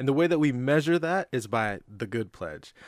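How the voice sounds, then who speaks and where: A man with a normal speaking voice talks at a moderate pace with ordinary pitch variation, the sound dry and close with no echo on a very clean recording with a silent background. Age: 20s. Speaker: nonprofit founder. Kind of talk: casual chat.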